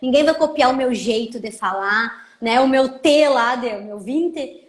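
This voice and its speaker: A woman with a gaúcho accent at a moderate pace, over noticeable background noise. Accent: gaúcho border. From southern Brazil, Rio Grande do Sul border region (Santana do Livramento). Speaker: lawyer and social media educator. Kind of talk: casual live chat. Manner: informal, conversational.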